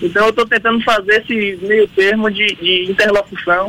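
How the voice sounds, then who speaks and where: A man with a high voice speaks in a raised, projected way with ordinary pitch variation. Noticeable background noise is present. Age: 30s. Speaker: state politician. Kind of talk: radio interview. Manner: halting.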